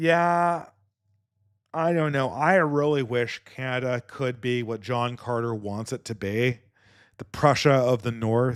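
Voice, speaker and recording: Very slow speech on a very clean recording over a silent background. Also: man, medium pitch for a man, ordinary pitch variation. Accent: Californian. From California. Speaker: podcast host. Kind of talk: podcast commentary reading viewer donations. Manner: halting, many repeated words.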